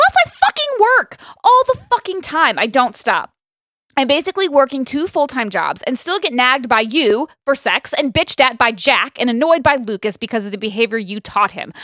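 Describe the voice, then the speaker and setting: A woman with an American accent speaks at a high pitch in a bright, sharp tone, her pitch swinging very widely. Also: moderate pace. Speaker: podcast co-host and mother. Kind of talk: casual chat. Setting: studio. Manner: animated.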